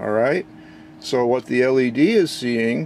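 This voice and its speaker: A man's speech proceeds at a moderate pace as noticeable background noise carries on behind him. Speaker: electronics hobbyist. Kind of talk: casual technical demo narration.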